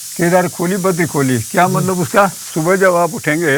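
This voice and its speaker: This is a man speaking. His pitch is high. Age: 80s+. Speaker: farmer. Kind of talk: interview answer, giving a house tour. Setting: outdoors, rural village homestead.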